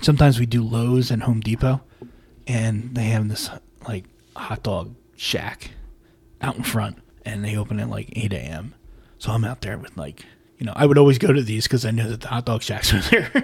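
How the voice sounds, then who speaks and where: A man speaks at a medium pitch and moderate pace, somewhat breathy, with ordinary pitch variation. His loudness swings widely, and he takes long, frequent pauses. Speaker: podcast host. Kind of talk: casual banter podcast.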